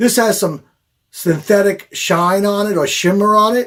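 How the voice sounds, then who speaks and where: A man in a Long Island accent sounds animated, with ordinary pitch variation, in a very clean recording with a silent background. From Long Island, New York. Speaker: fishing charter captain. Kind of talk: product demonstration.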